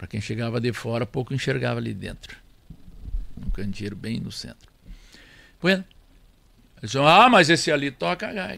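A man with a bright, sharp tone and vocal fry speaks at a moderate pace and medium pitch, his pitch swinging very widely between long, frequent pauses. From Rio Grande do Sul, Brazil (near Tupanciretã). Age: 70s. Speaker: accordion player and record label founder. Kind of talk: casual interview.

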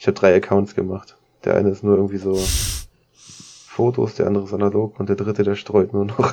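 Pausing long and often, a man speaks in a fairly low, monotone, flat voice whose loudness swings widely. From Lower Saxony, Germany (Braunschweig). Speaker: photographer and filmmaker. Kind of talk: casual chat.

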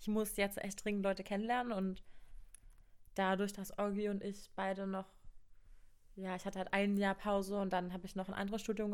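Talking fairly quickly, a woman at medium pitch keeps a flat, monotone delivery. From Brandenburg, eastern Germany (Cottbus). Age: 20s. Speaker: university student. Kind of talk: casual chat.

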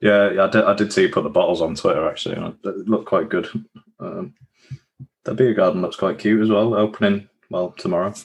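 The speaker is a man with a Yorkshire accent. He talks at a fairly quick pace. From Yorkshire, York area. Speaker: beer podcast host. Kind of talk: casual chat.

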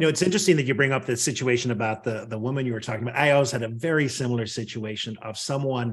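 Somewhat breathy, a man speaks in a medium pitch with ordinary pitch variation. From Northern Ireland. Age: 50s. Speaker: leadership communication coach and author. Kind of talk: podcast interview.

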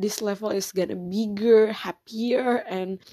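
Speaking at a very slow pace, a woman has a dark, mellow tone and fairly even intonation. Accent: Indonesian. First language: Indonesian. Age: 20s. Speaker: podcaster. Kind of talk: personal monologue. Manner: halting.

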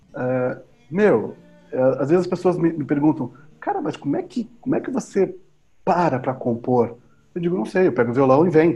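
High-pitched man at a moderate pace with long, frequent pauses and music in the background. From southern Brazil, Pelotas, Rio Grande do Sul. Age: 50s. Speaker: musician and educator. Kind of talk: casual interview chat.

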